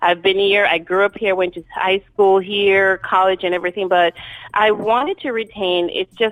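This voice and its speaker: A woman speaks with a strong Jamaican accent. Her pitch sits in the medium range. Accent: thick Jamaican. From Jamaica, raised in New York City. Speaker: author and speaker. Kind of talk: interview.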